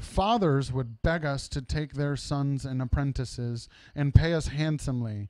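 Ordinary pitch variation in an unforced reading voice.

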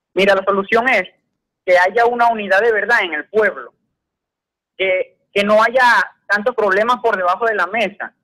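A man speaks in a raised, projected voice with a Venezuelan accent, high-pitched for a man. His tone is bright and sharp, his intonation fairly even, and the background is quiet. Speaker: caller. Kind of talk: phone-in comment. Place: studio. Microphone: studio mic.

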